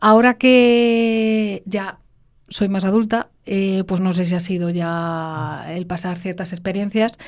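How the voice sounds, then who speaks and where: The recording is very clean, with a silent background. A woman speaks at a very slow pace and medium pitch, her intonation fairly even. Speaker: podcast co-host. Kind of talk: casual chat.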